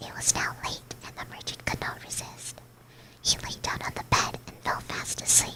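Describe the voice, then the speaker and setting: The speaker whispers at a moderate speed. Behind the whisper, noticeable noise is present. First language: Spanish. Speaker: vtuber streamer. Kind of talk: ASMR bedtime story reading. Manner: whispering.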